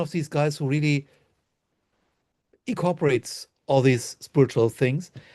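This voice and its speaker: Speaking at a moderate pace with a German accent, a man has a fairly high pitch and ordinary pitch variation, recorded with a dry, close sound with no echo and a quiet background. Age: 60s. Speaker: Reiki master and author. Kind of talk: interview.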